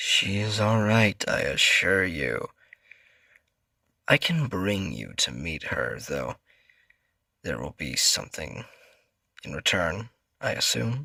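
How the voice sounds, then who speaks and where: A man puts on a character voice at a fairly low pitch. He goes at a fairly slow pace with long, frequent pauses. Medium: audio drama. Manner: calm, measured, assuring.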